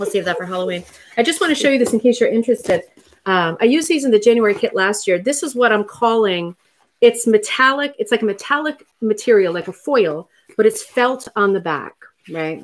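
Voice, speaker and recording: A woman speaks at a fairly quick pace with lively intonation. Her pitch is fairly high. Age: 40s. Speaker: rug hooking teacher and live stream host; rug hooking teacher, live stream host. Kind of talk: casual live chat and craft tutorial. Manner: chatty, animated. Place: home room. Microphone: webcam.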